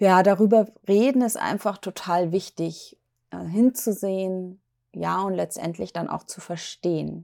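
A woman speaks at a fairly slow pace in a dark, mellow tone and medium pitch. Her intonation stays fairly even while her loudness swings widely. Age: 40s. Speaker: podcast host, mental health speaker. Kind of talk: solo podcast monologue. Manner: hesitant, many fillers.

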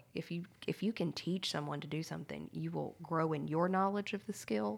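A normal speaking voice from a woman with a fairly low pitch, an American accent and lively intonation, on a very clean recording with a silent background. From US South, small-town Louisiana. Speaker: company communications staff with PR background. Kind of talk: casual workplace discussion.

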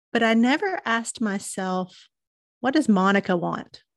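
A woman's fairly high-pitched voice over a quiet background. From Chattanooga, Tennessee, US South. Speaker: marketing business owner. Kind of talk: casual interview chat.

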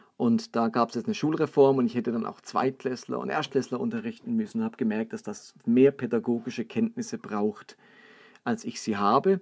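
A man's pitch swings very wide as he speaks at a fairly quick pace. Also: medium pitch for a man. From Baden, southern Germany (Karlsruhe). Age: 40s. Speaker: pastor and podcast host. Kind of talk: solo podcast talk, sermon-like teaching.

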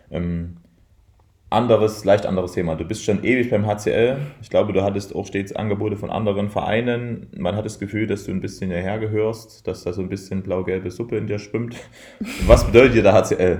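Somewhat breathy and fairly low, a man's voice moves at a fairly quick pace with fairly even intonation and big swings in loudness. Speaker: handball coach. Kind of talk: interview. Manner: indistinct, slurred.

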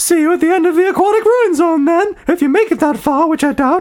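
In a squeaky put-on character voice, the speaker goes fairly quickly at an extremely high pitch. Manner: smug.

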